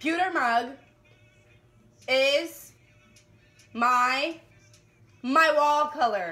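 Over faint music in the background, a woman speaks very slowly in a raised, projected, high-pitched voice with lively intonation. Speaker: vlogger playing a party game. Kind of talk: casual game talk. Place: home room. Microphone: camera far.

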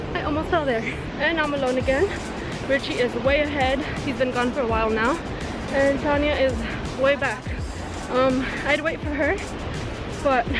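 Clear music plays in the background as a woman speaks with long, frequent pauses. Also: moderate pace, dry sound with no echo. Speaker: travel vlogger. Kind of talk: casual vlog chat. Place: forest. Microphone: phone near.

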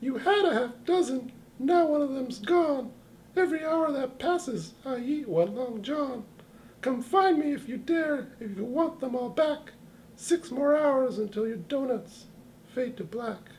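At a moderate pace, a cartoonish character voice speaks in a high pitch. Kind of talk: comic overacting. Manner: taunting, sing-song, gleeful, rhyming.

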